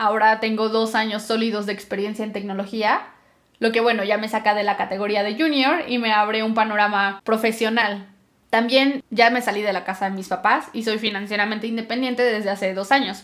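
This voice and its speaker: A woman with a plain, everyday voice talks at a fairly quick pace, her fairly high pitch carried in fairly even intonation. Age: 20s. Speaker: podcaster. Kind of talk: solo podcast monologue.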